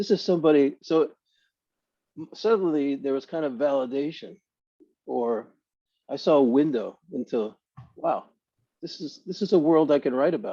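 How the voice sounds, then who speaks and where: With a Brooklyn accent, a man talks at a moderate pace with long, frequent pauses, a fairly high pitch, and ordinary pitch variation. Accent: Brooklyn accent, come back. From Brooklyn, New York. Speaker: author. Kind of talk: panel discussion.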